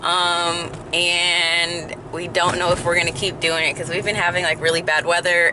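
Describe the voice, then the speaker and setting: A woman speaks with a fairly low pitch. The sound is dry with no echo, and there is noticeable background noise. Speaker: vlogger. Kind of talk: casual vlog chat. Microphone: phone near.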